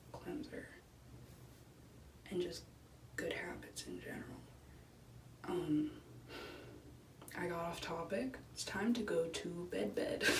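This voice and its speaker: A woman talks at a very slow pace, leaving long, frequent pauses. Noticeable background noise runs beneath her. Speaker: college student vlogger. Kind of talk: casual talk to camera.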